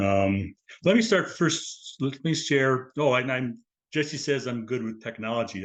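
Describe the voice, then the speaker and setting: Quiet background, a man, and ordinary pitch variation. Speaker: lecturer, lay translator. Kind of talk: lecture. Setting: video call. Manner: fast; fumbling words.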